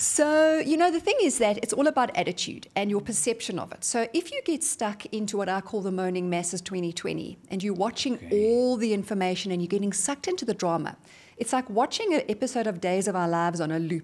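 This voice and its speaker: With hardly any pauses, a woman with a South African accent speaks at a fairly quick pace in a medium pitch, her tone energetic and her intonation lively. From South Africa, Johannesburg. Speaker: motivational speaker. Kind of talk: interview. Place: studio. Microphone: studio mic.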